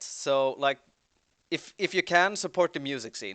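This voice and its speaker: A man talks with a Swedish accent in a bright, sharp tone at a moderate pace. The sound is dry and close with no echo, over a quiet background. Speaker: band member. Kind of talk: livestream Q&A chat.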